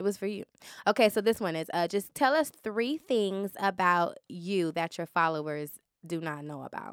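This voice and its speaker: Recorded dry and close with no echo, a woman with an ordinary speaking voice talks at a moderate pace and medium pitch with lively intonation. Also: very clean recording, silent background. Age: 30s. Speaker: podcast host. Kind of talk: casual chat. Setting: studio.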